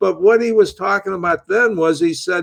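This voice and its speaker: A man speaks with an American accent. His pitch varies in an ordinary way. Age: 80s+. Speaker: author and military veteran. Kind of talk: political talk show interview.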